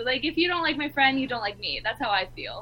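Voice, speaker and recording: Through noticeable background noise, a woman talks with an American accent. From Los Angeles. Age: young. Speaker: podcaster. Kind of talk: casual chat.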